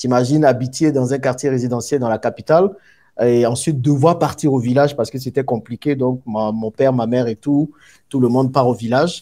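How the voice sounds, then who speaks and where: A man speaks fairly quickly at a medium pitch. His tone is dark and mellow, his intonation fairly even. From Ivory Coast, Abidjan. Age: 30s. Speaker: entrepreneur. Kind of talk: interview, life story. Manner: hesitant fillers.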